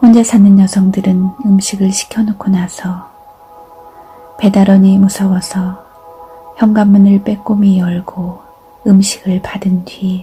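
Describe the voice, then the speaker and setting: Music plays behind a woman who speaks at a medium pitch and a very slow pace. Her intonation is monotone and flat, broken by long, frequent pauses. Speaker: reader of essays and poems. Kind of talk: literary essay reading, calm narration.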